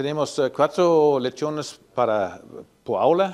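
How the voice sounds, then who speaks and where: A man with a non-native accent. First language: not Spanish (speaking Spanish). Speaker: animal science professor. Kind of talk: technical presentation. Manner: halting, many fillers.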